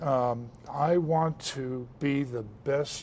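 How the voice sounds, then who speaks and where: With ordinary pitch variation and a medium pitch, a man talks in an unremarkable speaking voice. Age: 60s. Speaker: military veteran and supplement seller. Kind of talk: interview on a lifestyle show.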